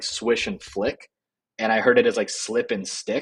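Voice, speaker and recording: A man's voice sits at a medium pitch, moving at a moderate pace with ordinary pitch variation in a plain, everyday voice. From Canada. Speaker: ghostwriting agency co-founder. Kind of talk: interview conversation.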